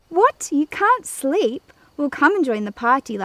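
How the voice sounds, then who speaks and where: A loud, shrill, put-on character voice with very wide pitch swings at a moderate pace. The sound is dry and close, with no echo. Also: woman, high pitch for a woman. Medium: read story. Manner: loud, laughing.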